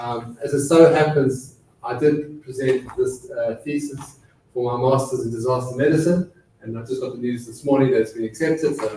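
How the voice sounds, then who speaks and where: A man's medium-pitched voice at a moderate pace, fairly even intonation, big swings in loudness, and noticeable background noise. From South Africa. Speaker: dental surgeon and public health consultant. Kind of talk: lecture. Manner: hesitant with frequent fillers.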